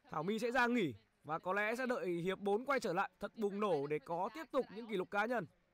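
A man speaks at a high pitch and a very fast pace with lively intonation. He hardly pauses at all. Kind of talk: live sports commentary. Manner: fast, animated play-by-play, calling each shot; casual, chatty, greets viewers warmly.

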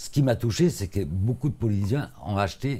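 This man's voice is somewhat breathy, with a dark, mellow tone. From born in Africa, lived mostly in Italy. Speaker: author and painter, former actor; guest. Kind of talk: interview. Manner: halting, many repetitions. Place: studio. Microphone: lapel.

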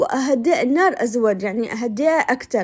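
A woman is speaking. She keeps a moderate pace. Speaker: cooking vlogger. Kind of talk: cooking tutorial and shopping vlog. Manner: chatty, explanatory like a teacher.

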